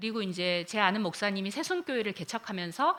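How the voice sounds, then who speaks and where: At a moderate pace, a woman speaks in a medium-pitched voice with very wide pitch swings. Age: 60s. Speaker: pastor. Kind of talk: lecture. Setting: chapel. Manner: hesitant fillers.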